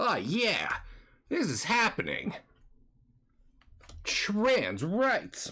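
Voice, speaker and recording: A put-on character voice, fairly high in pitch, at a very slow pace with long, frequent pauses. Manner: enthusiastic.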